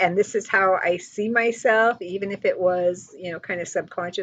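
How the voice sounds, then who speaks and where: A woman speaks at a medium pitch and a moderate pace in an ordinary speaking voice. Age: 60s. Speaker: online show host, group founder. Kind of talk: casual talk to camera. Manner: casual, filler-heavy.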